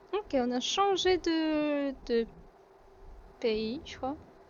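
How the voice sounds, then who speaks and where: With lively intonation, a woman speaks in a high pitch. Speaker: gaming streamer. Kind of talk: gameplay commentary. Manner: casual, hesitant with many fillers.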